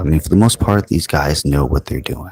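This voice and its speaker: A man speaks softly. The sound is dry and close, with no echo. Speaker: tabletop game commentator. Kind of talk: live commentary. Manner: soft-spoken, quiet.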